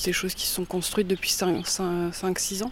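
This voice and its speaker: Medium pitch from a woman, with noticeable background noise behind her. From Langres, Haute-Marne, France. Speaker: arts venue organizer. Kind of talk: interview.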